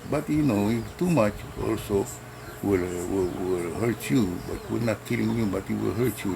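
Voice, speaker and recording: Amid noticeable background noise, a man with a fairly low pitch talks at a moderate pace with very wide pitch swings. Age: 70s. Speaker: herbal medicine vlogger. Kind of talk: tutorial. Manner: halting, many fillers.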